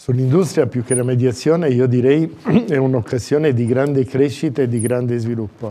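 Moderate pacing from a man, his intonation fairly even. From Abruzzo, Italy. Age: 60s. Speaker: candidate for regional president. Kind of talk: political interview answers. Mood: calm, measured, formal. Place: studio.

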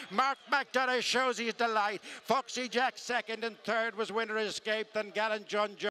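In a raised, projected voice, a high-pitched man speaks at a moderate pace with hardly any pauses, his bright, sharp tone held in a monotone, flat intonation, the sound dry and close with no echo. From Ireland. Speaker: horse racing commentator. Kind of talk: live horse race commentary.

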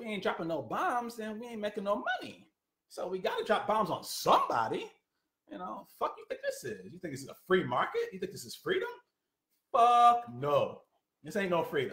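A man at a fairly quick pace, with big swings in loudness and audible room echo. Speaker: political commentator. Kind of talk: commentary rant. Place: home room. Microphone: phone near.

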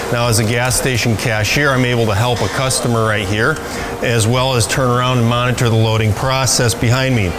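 Over noticeable background noise, a man speaks fairly quickly in a monotone, flat intonation at a very even loudness. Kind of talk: promotional facility tour. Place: shop.

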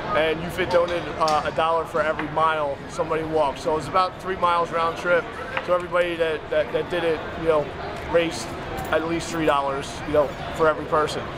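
A man speaks at a very fast pace. Loud background noise fills the recording. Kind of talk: interview answer. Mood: earnest, respectful. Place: gym. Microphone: camera far.

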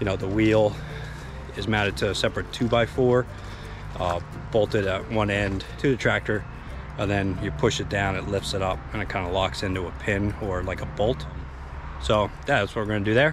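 Over music in the background, a man with a fairly low pitch speaks at a moderate pace with lively intonation. His delivery has long, frequent pauses, and the sound is dry with no echo. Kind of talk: casual vlog chat. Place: garden. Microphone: phone near.

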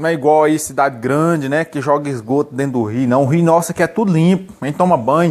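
Against a quiet background, a man with a fairly high voice talks at a very fast pace with ordinary pitch variation. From Minas Gerais, Brazil. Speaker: vlogger. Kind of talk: casual chat. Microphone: phone near.

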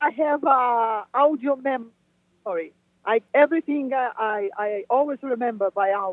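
A woman's high voice in a Portuguese accent, lively in intonation, at a moderate pace. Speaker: new age musician. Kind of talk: interview. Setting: phone call. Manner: halting.

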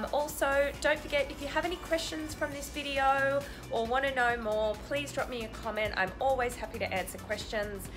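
Moderate pace and hardly any pauses from a woman with an Australian accent, high-pitched with ordinary pitch variation over clear background music. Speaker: travel vlogger. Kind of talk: casual vlog chat. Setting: outdoors. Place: home room. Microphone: phone near.

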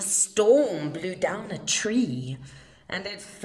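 An unforced reading voice

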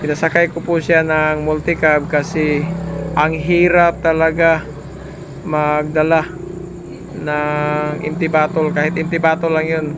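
Noticeable background noise accompanies a man speaking at a fairly slow pace. His pitch is fairly high and his intonation monotone and flat. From Surigao del Sur, Mindanao. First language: Surigaonon/Visayan (speaking Tagalog). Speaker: travel vlogger. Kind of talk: vlog narration. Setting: driving on the road. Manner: halting.

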